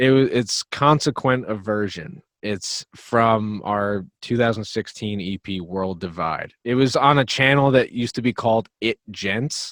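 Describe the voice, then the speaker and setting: On a very clean recording with a silent background and a dry, close sound with no echo, a man of medium pitch and ordinary pitch variation talks at a fairly slow pace with hardly any pauses. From New Jersey. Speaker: metal band drummer and vocalist. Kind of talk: casual podcast interview.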